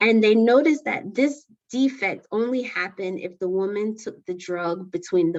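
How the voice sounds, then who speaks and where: This is a woman with an ordinary speaking voice at a medium pitch. She talks at a fairly slow pace with lively intonation. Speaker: lecturer. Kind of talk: lecture.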